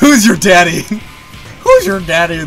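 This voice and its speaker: Using a put-on character voice pitched high, a man speaks at a moderate pace against clear background noise. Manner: playful, taunting.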